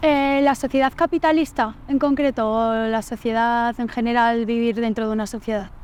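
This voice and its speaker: A woman's fairly high-pitched voice at a moderate pace, with ordinary pitch variation and hardly any pauses. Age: 20s. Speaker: university journalism student. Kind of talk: casual interview. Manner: hesitant, with fillers.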